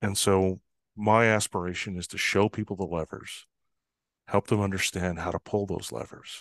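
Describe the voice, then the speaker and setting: A man with a normal speaking voice talks at a moderate pace, fairly low in pitch with fairly even intonation, recorded dry and close with no echo against a quiet background. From northern Canada. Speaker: trust expert and consultant. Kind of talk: interview conversation.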